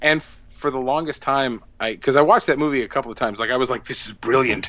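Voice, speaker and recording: In an American accent, a man speaks very fast at a medium pitch. His tone is bright and sharp, and the background is quiet. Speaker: podcast co-host. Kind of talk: casual chat. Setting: remote call recording.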